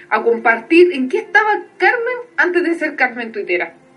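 Amid noticeable background noise, a woman with a Chilean accent speaks in a raised, projected voice. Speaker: podcast co-host. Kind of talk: casual chat.

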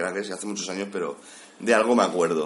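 Against noticeable background noise, a man talks in a fairly low pitch. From Catalonia, Spain (Cubellas, Barcelona). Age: 30s. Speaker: IT technician. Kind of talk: casual interview. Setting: office room full of computers.

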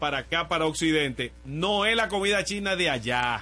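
With music in the background, a man talks at a moderate pace, his intonation lively. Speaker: radio host. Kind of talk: casual chat. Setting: radio studio.

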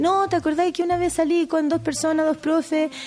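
A woman with a Chilean accent, an extremely high pitch and a fairly quick pace. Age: 30s. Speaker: podcast co-host. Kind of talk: casual chat.

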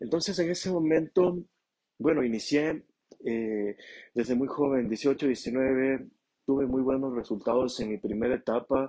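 Fairly slow and with ordinary pitch variation, the voice carries a dark, mellow tone. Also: man, medium pitch for a man. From Ecuador, Ambato. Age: 20s. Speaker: entrepreneur. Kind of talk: unscripted solo monologue. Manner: halting.

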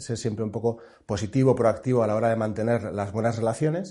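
Against a quiet background, a man speaks at a medium pitch in a dark, mellow, somewhat breathy voice. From Navarre, Spain (Pamplona). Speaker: fund selection executive. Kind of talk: interview. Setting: studio at a business school.

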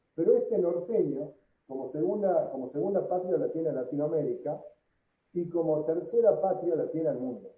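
With a Tucumán accent, a man speaks at a moderate pace amid audible room echo. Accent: Tucumán Argentine Spanish. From Argentina, Tucumán. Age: 40s. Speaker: entrepreneur. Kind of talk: interview.

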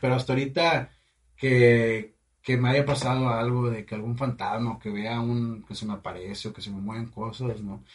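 This man's voice sits at a medium pitch, somewhat breathy, moving at a moderate pace. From Mexico, Matamoros, Tamaulipas. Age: 20s. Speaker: chef and funeral business owner. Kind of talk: casual chat.

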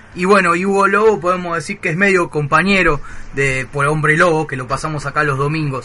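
A man's fairly high voice at a fairly quick pace with ordinary pitch variation, over noticeable background noise. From Buenos Aires, Argentina. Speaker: community radio host. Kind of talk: casual radio show. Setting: radio studio.

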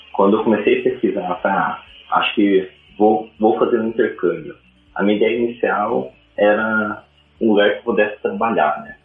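There is music in the background. A man talks at a moderate pace. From Paraná, Brazil (interior). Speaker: web developer and designer. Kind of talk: casual interview.

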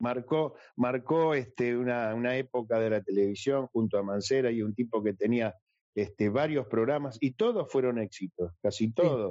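A man's normal speaking voice at a medium pitch, with ordinary pitch variation, very even loudness and a moderate pace. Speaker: singer and actor. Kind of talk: casual chat.

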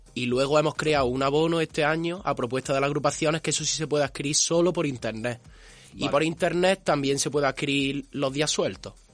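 A man talks at a very fast pace with a fairly high pitch. His intonation stays fairly even over a quiet background. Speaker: carnival group member. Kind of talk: interview.

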